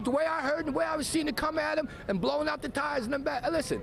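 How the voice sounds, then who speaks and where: Against noticeable background noise, a man with an extremely high pitch speaks at a very fast pace, his loudness very even and his pitch variation ordinary. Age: 60s. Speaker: shooting witness. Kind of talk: news interview. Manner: halting.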